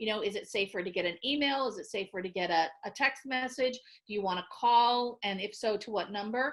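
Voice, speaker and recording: A woman talks at a fairly quick pace. Her pitch sits fairly high, with ordinary variation. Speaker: victim services chief, psychologist. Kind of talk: training webinar presentation and Q&A. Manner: fast.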